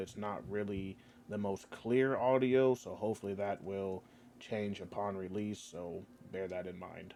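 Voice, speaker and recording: Fairly even intonation from a man with a fairly low voice, at a moderate speed. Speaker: gaming youtuber. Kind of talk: game commentary. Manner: monotone.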